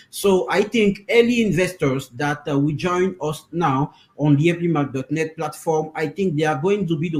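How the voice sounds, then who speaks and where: In a French accent, a man speaks at a fairly high pitch. His pitch variation is ordinary. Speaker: interpreter for a crypto project team. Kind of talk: interview. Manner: halting, many fillers.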